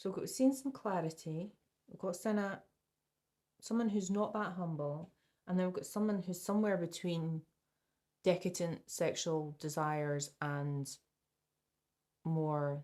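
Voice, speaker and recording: Soft-spoken and fairly slow, this voice has a Scottish accent. Long, frequent pauses break up speech with ordinary pitch variation. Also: woman, fairly low pitch for a woman. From Scotland. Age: 70s. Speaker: tarot reader. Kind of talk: tarot reading. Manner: halting.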